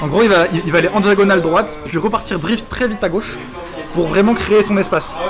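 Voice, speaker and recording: Music plays in the background as a man talks at a very fast pace. His high-pitched voice has an animated tone. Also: ordinary pitch variation. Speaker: esports commentator. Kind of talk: live commentary.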